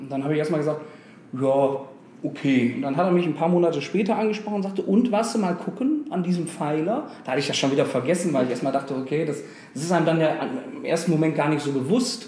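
A man at a very fast pace, fairly high-pitched with lively intonation, amid noticeable background noise and audible room echo. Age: 30s. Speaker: football fan club board member. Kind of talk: interview.

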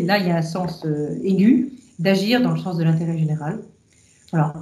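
A woman's fairly low voice in audible room echo. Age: 50s. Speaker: engineer and energy executive. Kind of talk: interview about faith and career. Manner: hesitant, many filler sounds.

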